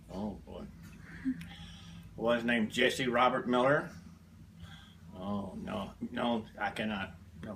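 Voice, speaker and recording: With a Southern US accent, a man at medium pitch talks at a very slow pace with long, frequent pauses, big swings in loudness and lively intonation, while noticeable background noise sits behind him. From US South (Alabama). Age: 70s. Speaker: grandfather being interviewed. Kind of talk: interview.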